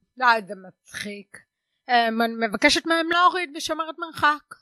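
A woman's raised, projected voice, high and bright with a sharp tone, very slow in pace with ordinary pitch variation, dry and close with no echo. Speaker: stand-up comedian and lecturer. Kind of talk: casual chat. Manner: hard of hearing since early childhood.

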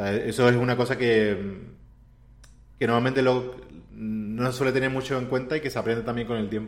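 This man talks at a fairly quick pace with fairly even intonation. Audible echo from the room surrounds his voice. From Andalusia, Spain (Seville). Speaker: video game character artist. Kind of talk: casual interview.

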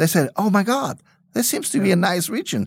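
Someone speaks with a German accent on a very clean recording with a silent background. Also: man. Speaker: winemaker. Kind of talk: interview. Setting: studio.

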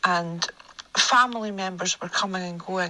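With noticeable background noise, a woman speaks at a moderate pace and a medium pitch. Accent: Scottish. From Scotland. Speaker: listener sharing story. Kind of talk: voice note recounting personal story. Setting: recorded voice note.

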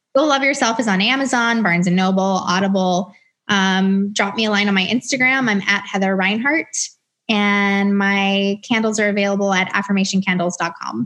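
A woman with an American accent speaks at a moderate pace in an unremarkable speaking voice, her medium pitch showing ordinary variation and her loudness very even against a quiet background. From US South, Atlanta. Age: 30s. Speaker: author and entrepreneur. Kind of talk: interview. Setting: video call.

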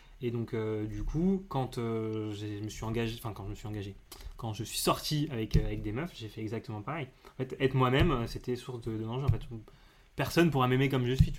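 The man's loudness swings widely, while his pitch varies in an ordinary way. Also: medium pitch for a man, fairly quick pace. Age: 20s. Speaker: communications worker interviewed about love life. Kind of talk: casual interview. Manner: halting.

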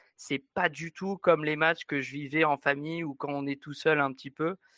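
A man's bright, sharp voice at fairly high pitch, with monotone, flat intonation and a moderate pace, dry and close with no echo, on a very clean recording with a silent background. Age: 20s. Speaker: rugby supporter. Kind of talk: interview.

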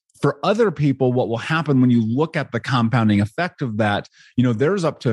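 Over a quiet background, a man with an American accent talks very fast at medium pitch with lively intonation. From US Midwest, Indianapolis. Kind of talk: interview. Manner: animated.

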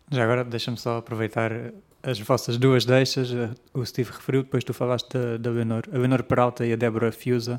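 Monotone and flat in intonation, a man talks at medium pitch and a fairly quick pace. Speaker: podcast host. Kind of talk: podcast interview.

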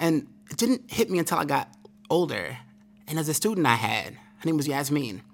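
Over music in the background, a man with an American accent talks at a fairly quick pace in a fairly high pitch, with very wide pitch swings and long, frequent pauses. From Brooklyn, New York. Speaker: education speaker and former attorney. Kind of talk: interview. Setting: conference recording.

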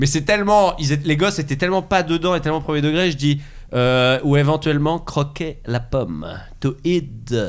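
Here is a man with a normal speaking voice and a fairly high pitch. He keeps a moderate pace, very even loudness and ordinary pitch variation. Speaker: comedian. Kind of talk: casual chat.

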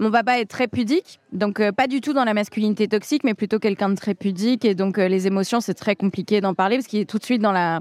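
In a very clean recording with a silent background, a woman talks at a fairly quick pace with a fairly high pitch, ordinary pitch variation and very even loudness. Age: 30s. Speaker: stand-up comedian. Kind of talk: interview. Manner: halting.

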